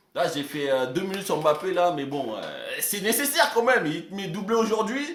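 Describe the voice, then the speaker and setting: An animated man's voice with very wide pitch swings, amid audible room echo and noticeable background noise. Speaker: football YouTuber. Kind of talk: casual match debrief. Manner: halting, stammering.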